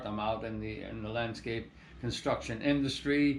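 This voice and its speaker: Audible room echo surrounds a man speaking at a moderate pace and medium pitch, with ordinary pitch variation. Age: 60s. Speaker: landscape contractor and organic soil business owner. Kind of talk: casual monologue to camera. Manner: halting, many repetitions and fillers.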